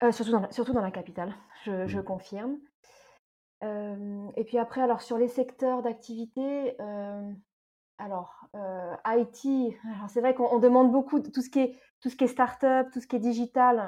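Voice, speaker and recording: A woman speaks at a fairly slow pace in a dark, mellow tone. Her pitch is fairly high and her intonation fairly even. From France, eastern Paris suburbs. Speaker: expatriate guest. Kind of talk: casual interview. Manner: halting, many hesitations.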